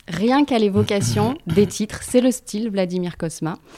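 A woman speaks at a moderate pace in a fairly high pitch, her tone dark and mellow. Pitch varies in an ordinary way, and the sound is dry and close with no echo. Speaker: podcast host. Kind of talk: interview conversation.

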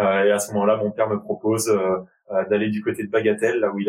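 A man's very fast, monotone delivery, flat in intonation and fairly low in pitch. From Paris region, France (Val-d'Oise). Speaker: professional rugby player and consultant. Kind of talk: interview conversation.

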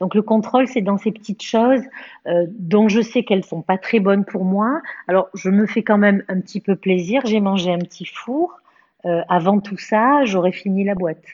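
A woman of medium pitch talks at a moderate pace with ordinary pitch variation. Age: 50s. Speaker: cancer survivor. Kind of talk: testimony. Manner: halting.

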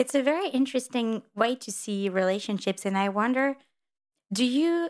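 A woman with a French accent talks at a moderate pace with ordinary pitch variation, recorded very cleanly over a silent background. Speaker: podcast host, interviewer. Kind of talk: interview conversation.

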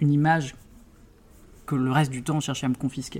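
This man's voice has a fairly high pitch. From Brittany, France (Brest). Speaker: criminal lawyer and prison rights advocate. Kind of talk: interview.

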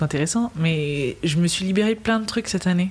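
A woman talks at a very fast pace in a somewhat breathy voice. Her pitch is medium, with ordinary variation. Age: 20s. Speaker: interview guest. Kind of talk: casual interview. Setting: in a bar. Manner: calm.

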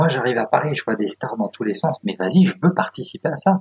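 In a dry, close recording with no echo, a man talks fairly quickly in a fairly high voice with vocal fry and very wide pitch swings. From France, moved around provinces. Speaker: copywriter and author. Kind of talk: casual interview chat. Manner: animated.

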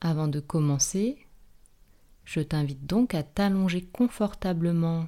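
A woman's dark, mellow voice at a fairly low pitch and very slow pace, on a very clean recording with a silent background. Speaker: yoga teacher and nurse. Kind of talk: guided meditation (yoga nidra body scan). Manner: slow, calm, soothing; repeats each body part twice, with pauses.

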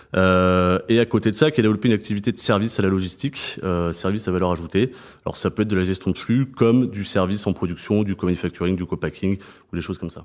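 Speaking at a very fast pace, a man with a fairly low pitch shows ordinary pitch variation. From southern France, Montpellier. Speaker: purchasing director. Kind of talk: interview. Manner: hesitant with fillers.

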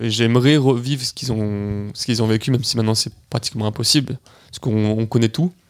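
Intonation remains fairly even. The speed is moderate. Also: man. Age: 20s. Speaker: adventurer, polar expedition member. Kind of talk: casual interview.

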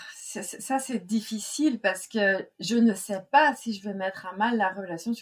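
This woman has a medium pitch and a somewhat breathy voice. She talks at a very slow pace with ordinary pitch variation. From Brittany, France. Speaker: business coach. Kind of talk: interview. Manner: hesitant with many fillers.

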